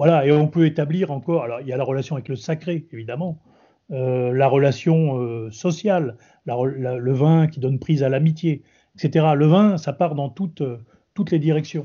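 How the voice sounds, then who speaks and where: Heard here is an ordinary speaking voice, medium in speed, with normal pitch movement. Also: man, fairly high pitch for a man. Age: 60s. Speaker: retired army general and wine expert. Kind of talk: interview.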